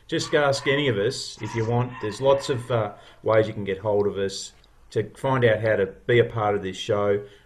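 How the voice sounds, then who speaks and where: At a fairly quick pace, a man with an Australian accent speaks in a somewhat breathy, medium-pitched voice with fairly even intonation. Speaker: podcast founder. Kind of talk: casual chat. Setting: video call.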